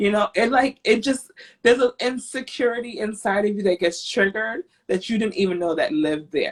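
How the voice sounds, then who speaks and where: Somewhat breathy and fairly high-pitched, a woman with an American accent speaks fairly quickly in a dry, close sound with no echo. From grew up outside the US. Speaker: podcast host. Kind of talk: casual chat.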